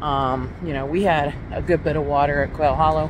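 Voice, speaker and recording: The pace is fairly slow and the sound is dry with no echo. Background noise is noticeable. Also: woman. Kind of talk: casual vlog chat. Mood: relaxed, a bit rueful. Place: beach. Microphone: phone near.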